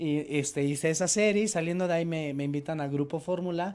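A man's voice with a dark, mellow tone. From Mexico. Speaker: producer and radio host; interview guest. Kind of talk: TV interview. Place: studio. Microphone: handheld.

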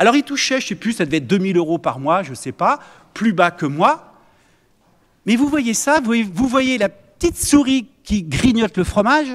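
A man with a high pitch and very wide pitch swings, animated in tone, at a moderate pace over a quiet background. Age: 60s. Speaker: mayor chairing a municipal council; mayor at council meeting. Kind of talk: heated debate. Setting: council chamber meeting. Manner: hesitant with fillers. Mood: defensive, indignant. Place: meeting room. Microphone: podium.

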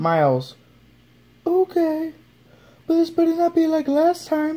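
Cartoonish character voice, extremely high, at a fairly slow pace. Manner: nervous, weary.

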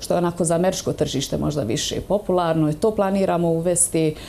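The delivery has a moderate pace and fairly even intonation. Light background noise is present. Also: woman. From Bosnia and Herzegovina. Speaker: dance instructor. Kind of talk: TV interview. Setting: studio. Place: studio.

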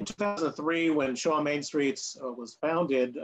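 The man's speech shows ordinary pitch variation. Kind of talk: webinar presentation. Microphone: video call.

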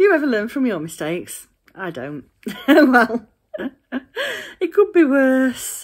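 At a fairly slow pace, a woman is talking. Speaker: craft vlogger. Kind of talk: casual vlog chat. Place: home room. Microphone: phone near.

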